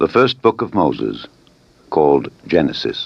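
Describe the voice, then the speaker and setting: Slowly, at a fairly slow pace, a man speaks with vocal fry, his pitch swinging very widely. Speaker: Bible narrator. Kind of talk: scripture reading.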